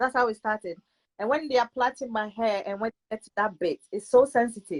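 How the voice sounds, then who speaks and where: Speaking at a fairly quick pace with a British accent, a woman uses a fairly high pitch and ordinary pitch variation, the sound dry and close with no echo. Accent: UK. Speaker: guest sharing personal health story. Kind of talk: testimony.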